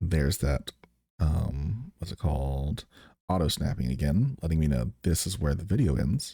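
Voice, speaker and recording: A man with a very deep, low pitch and a dark, mellow tone speaks with vocal fry. His pace is moderate and his intonation lively. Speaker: streamer. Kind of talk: tutorial. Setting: live stream.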